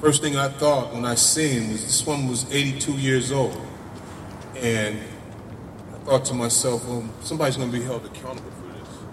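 Over noticeable background noise, a man speaks at a medium pitch and a moderate pace with big swings in loudness. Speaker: community activist. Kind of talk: speech at a rally. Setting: outdoors in front of a crowd. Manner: animated.

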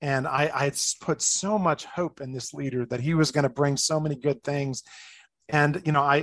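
A man with an American accent and a normal speaking voice talks at a moderate pace, his fairly high pitch showing ordinary pitch variation. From New Jersey, outside New York City. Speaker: life coach and former pastor. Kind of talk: interview conversation.

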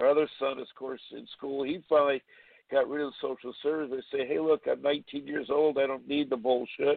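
Speaking at a fairly quick pace with fairly even intonation, this is a plain, everyday voice. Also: man, fairly high pitch for a man. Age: 60s. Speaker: caller, parent. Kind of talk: phone-in story. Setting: phone call.

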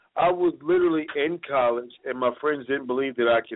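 Medium-pitched male speech, an unremarkable speaking voice with ordinary pitch movement. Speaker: martial artist and fight trainer. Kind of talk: casual chat.

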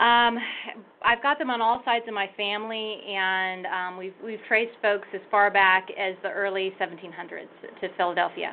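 This woman has an unremarkable speaking voice with an American accent and medium pitch. Her intonation is fairly even, and her pace is moderate. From Northern California, Sonoma County. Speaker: archive director and historian. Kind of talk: interview.

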